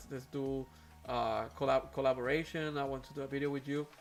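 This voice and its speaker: Over music in the background, a man with a Puerto Rican accent talks at a very fast pace and fairly high pitch. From Puerto Rico. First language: Spanish. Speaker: aquarium hobby YouTuber. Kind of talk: live stream chat. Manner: hesitant, many fillers.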